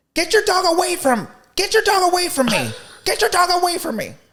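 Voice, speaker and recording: Shouting at a fairly quick pace, the speaker uses a squeaky put-on character voice at an extremely high pitch. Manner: yelling, angry, hostile.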